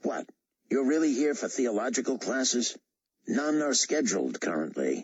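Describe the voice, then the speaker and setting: Using a raspy, put-on character voice, a man speaks at a medium pitch and a moderate pace with very even loudness. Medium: read story. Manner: sarcastic, evasive.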